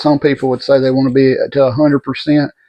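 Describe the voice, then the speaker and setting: A man with a Southern US accent speaks at medium pitch in a monotone, flat intonation. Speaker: vlogger recovering from surgery. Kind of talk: personal video update. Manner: halting.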